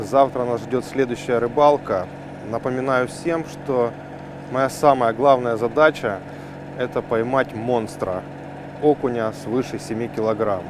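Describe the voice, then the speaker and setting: A man at a medium pitch speaks very slowly, with long, frequent pauses and fairly even intonation. Noticeable background noise runs underneath. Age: 40s. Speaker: fishing show host. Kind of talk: outdoor fishing vlog narration. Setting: outdoors.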